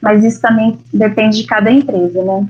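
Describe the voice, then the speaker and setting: A woman's voice sits fairly high in pitch and sounds somewhat breathy. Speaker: family lawyer. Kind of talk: lecture.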